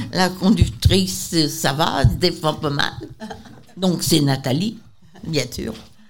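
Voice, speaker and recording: A woman talks very slowly with a very deep, low pitch, very wide pitch swings and big swings in loudness. Long, frequent pauses break her speech over noticeable background noise. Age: old. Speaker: senior centre member. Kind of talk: casual chat.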